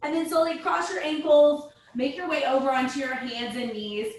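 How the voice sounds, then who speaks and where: A woman speaks loudly at a high pitch with lively intonation, and the room echo is audible. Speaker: yoga instructor. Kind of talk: guided yoga class. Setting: video call. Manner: calm, instructive. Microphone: far from the mic.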